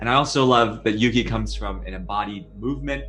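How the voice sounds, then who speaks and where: A man with an American accent at a moderate pace, with audible room echo and music in the background. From New York City. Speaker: podcast host. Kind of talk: casual interview conversation. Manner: hesitant, many fillers.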